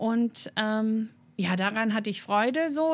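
Somewhat breathy, a woman's voice comes through. It is pitched fairly high. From north-west Germany, between Osnabrück and Münster. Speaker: church youth worker, theologian. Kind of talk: interview.

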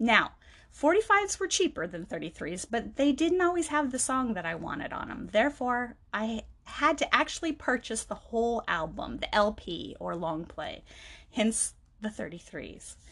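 Recorded very cleanly with a silent background, a woman with a fairly high pitch and vocal fry speaks at a moderate pace with very wide pitch swings. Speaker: podcast host. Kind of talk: personal monologue.

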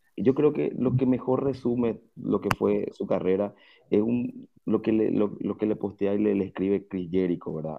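A man with lively intonation at a moderate pace. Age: 30s. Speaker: wrestling fan commentator. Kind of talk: casual chat.

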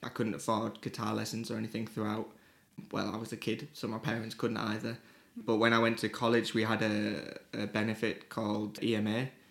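Using vocal fry and a monotone, flat intonation, a man speaks at a fairly quick pace in a Teesside accent. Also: fairly low pitch for a man. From northern England, Teesside (Middlesbrough). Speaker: music promoter. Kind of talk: casual interview.

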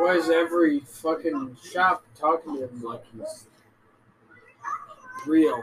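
Long, frequent pauses break up the very slow speech, with noticeable background noise throughout. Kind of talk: casual chat. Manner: animated.

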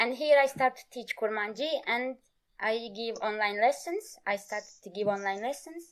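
A woman speaks with a Turkish accent. Her pitch is fairly high. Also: ordinary pitch variation, moderate pace. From Turkey. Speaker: Kurdish language teacher. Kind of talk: interview. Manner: halting.

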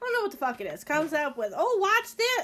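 A woman with very wide pitch swings against noticeable background noise. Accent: American. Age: 30s. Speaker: podcast guest, safety equipment worker. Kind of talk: casual chat.

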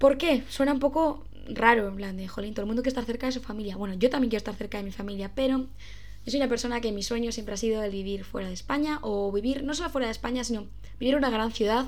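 A woman's fairly high voice at a very fast pace, with audible room echo. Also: ordinary pitch variation. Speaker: podcaster. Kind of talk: casual monologue. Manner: stumbling over words.

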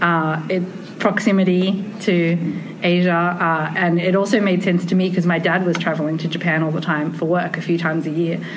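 A woman with an Australian accent talks at a fairly quick pace in a fairly low, monotone, flat voice with very even loudness, amid noticeable background noise and audible room echo. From Australia, Sydney. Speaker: tea ceremony researcher. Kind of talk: casual conversation. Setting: conference.

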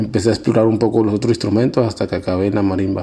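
A man speaks in a monotone with flat intonation at a fairly low pitch. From Colombian Pacific coast (Guapi, Cauca). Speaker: musician. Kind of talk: interview narration about his life. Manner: halting, many fillers and repetitions.

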